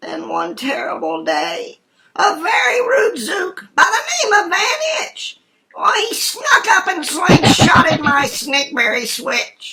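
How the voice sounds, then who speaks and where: The voice is extremely high in pitch and moves at a fairly slow pace. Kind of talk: rhyming bedtime story. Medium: read story.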